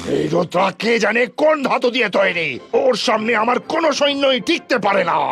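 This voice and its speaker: Using a cartoonish character voice at an extremely high pitch, a man speaks at a moderate pace with music in the background. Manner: sly, scheming.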